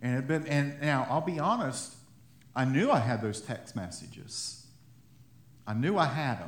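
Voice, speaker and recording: With vocal fry and long, frequent pauses, a man's voice carries audible room echo. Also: medium pitch for a man, moderate pace. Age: 30s. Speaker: pastor. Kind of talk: sermon. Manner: halting.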